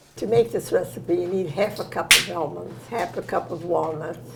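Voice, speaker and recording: A woman talks with an American accent at a moderate pace. There is noticeable background noise. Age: 90s. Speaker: home cook sharing Depression-era memories. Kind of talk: cooking tutorial with reminiscing. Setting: home kitchen.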